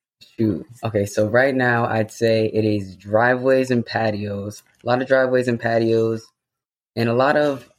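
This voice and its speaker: In an unremarkable speaking voice, a man talks at a moderate pace and medium pitch, with very even loudness and fairly even intonation. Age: 20s. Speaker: small business owner. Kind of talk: casual interview.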